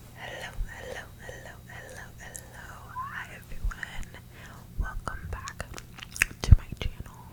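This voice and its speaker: Whispering from a woman at a very slow pace, with long, frequent pauses, big swings in loudness and noticeable background noise. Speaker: ASMR creator. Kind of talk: ASMR self-love ramble to camera. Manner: gentle.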